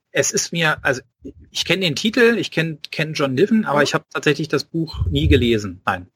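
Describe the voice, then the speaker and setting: Speaking with a slight Berlin accent, a man talks at a fairly quick pace in a fairly high pitch, with very wide pitch swings and vocal fry. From Berlin (Spandau). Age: 40s. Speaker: author. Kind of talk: casual interview.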